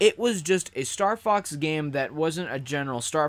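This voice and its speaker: A man talks in a normal speaking voice, fairly high for a man, at a moderate pace. His intonation is lively, and the recording is very clean with a silent background. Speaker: gaming YouTuber. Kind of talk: casual livestream chat. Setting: livestream reading chat.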